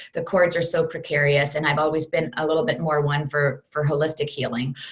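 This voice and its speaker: A woman talks at a fairly quick pace. Her pitch is very deep and low, and her voice is somewhat breathy. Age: 40s. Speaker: fitness program creator, former Broadway performer. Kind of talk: interview. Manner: talkative.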